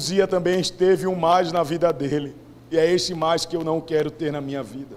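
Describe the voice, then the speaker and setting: The intonation stays fairly even. Noticeable background noise is present. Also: man, fairly high pitch for a man, moderate pace. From Brazilian Northeast. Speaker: preacher. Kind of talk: sermon.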